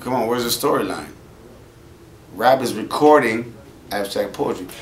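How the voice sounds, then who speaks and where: A man at a fairly slow pace, ordinary pitch variation, light background noise. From US West Coast. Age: 40s. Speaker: rapper; interviewee. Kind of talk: interview. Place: shop.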